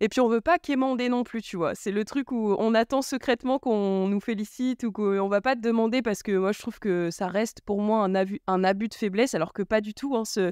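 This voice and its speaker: A woman talks at a fairly quick pace with hardly any pauses. Her pitch varies in an ordinary way. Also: fairly high pitch for a woman, dry, close sound with no echo. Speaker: podcast host. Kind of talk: casual chat. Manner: loud.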